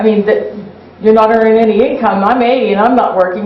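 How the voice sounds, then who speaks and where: Over noticeable background noise and audible room echo, a woman speaks very fast at a fairly high pitch. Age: 80s+. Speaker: resident speaking at public comment. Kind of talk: public comment at council meeting.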